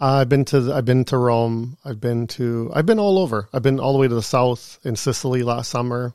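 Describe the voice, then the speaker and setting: An unremarkable speaking voice from a man with a Canadian accent, medium in pitch with ordinary pitch variation, at a fairly quick pace with hardly any pauses. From Canada, Thunder Bay, Ontario. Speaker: real estate agent. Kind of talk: casual interview. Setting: studio.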